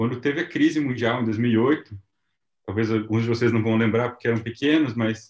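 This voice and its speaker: A man speaks in a normal speaking voice at medium pitch and a moderate pace. His loudness is very even, and his intonation fairly even. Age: 30s. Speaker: missionary and entrepreneur. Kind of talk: testimony.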